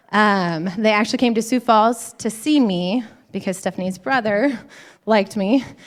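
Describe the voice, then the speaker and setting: A woman with an unremarkable speaking voice talks at a moderate pace, fairly high in pitch with ordinary pitch variation, on a very clean recording with a silent background. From Montana. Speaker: women's conference speaker, physician assistant. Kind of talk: church conference talk.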